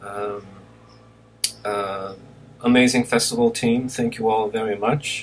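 The speech is fairly slow and monotone, with flat intonation and long, frequent pauses. Light background noise is present. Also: man. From Brazil (Recife). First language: Portuguese. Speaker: film director. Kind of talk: recorded acceptance speech. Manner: halting, with many fillers. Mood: warm, grateful, relaxed. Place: home room. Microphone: webcam.

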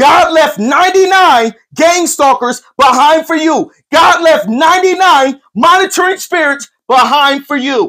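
Speaking very slowly in a raised, projected voice, a man has an extremely high pitch, a bright, sharp tone and ordinary pitch variation against a quiet background. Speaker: online life coach and spiritual preacher. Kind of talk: livestreamed prophetic sermon-style pep talk to a chat audience. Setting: live stream reading viewer chat. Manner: fervent call-and-response preaching, punctuated with come on now and amen; repetitive and emphatic, restating lines for impact. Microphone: earbuds.

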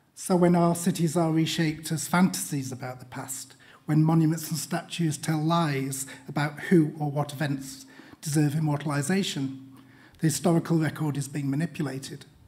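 A man speaks at a moderate pace in a somewhat breathy voice, his intonation fairly even. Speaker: guest lecturer. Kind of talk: lecture. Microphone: podium.

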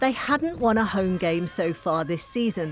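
Delivered at a fairly slow pace with an energetic tone, the voice swings very widely in pitch over noticeable background noise. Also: woman. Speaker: match commentator. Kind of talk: sports highlights voiceover, scripted recap read in steady narration. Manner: brisk, clipped, energetic, formal.

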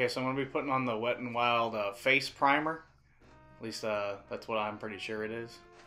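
Over music in the background, a man talks at a fairly quick pace in a medium pitch with fairly even intonation. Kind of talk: casual, joking voiceover of a makeup tutorial.

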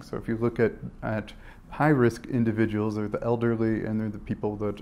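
A man's fairly low-pitched, slightly mellow voice at a fairly quick pace, with little pitch movement

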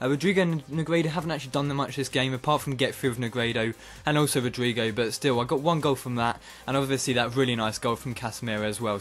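Over light background noise, a man talks at a very fast pace in an animated, excited tone with ordinary pitch variation. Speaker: gaming YouTuber. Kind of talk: excited play-by-play commentary over his own FIFA match. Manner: animated, bursts of excited cheering at goals; casual, rambling with frequent uh and um fillers. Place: home room.

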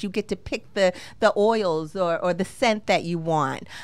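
A woman with a Boston accent and ordinary pitch variation. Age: 50s. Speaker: luxury romance concierge; podcast guest. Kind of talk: casual interview. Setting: studio. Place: studio. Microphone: studio mic.

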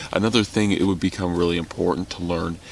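A man speaks in a very deep, low voice with flat, monotone intonation, the sound dry with no echo over light background noise. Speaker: bushcraft vlogger. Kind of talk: casual vlog chat. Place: tent. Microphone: phone near.

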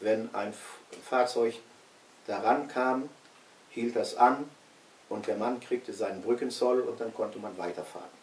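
A man's fairly even intonation with long, frequent pauses and audible room echo. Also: fairly slow pace. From West Prussia. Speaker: eyewitness recalling his childhood homeland; witness. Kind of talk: historical recollection in an interview. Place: home room. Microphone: camera far.

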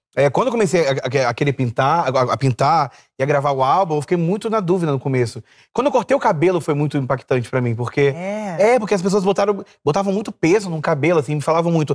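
A man talks at a very fast pace with lively intonation and a fairly high pitch. The background is quiet. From Brazil. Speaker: artist; talk show guest. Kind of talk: casual chat. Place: studio. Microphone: lapel.

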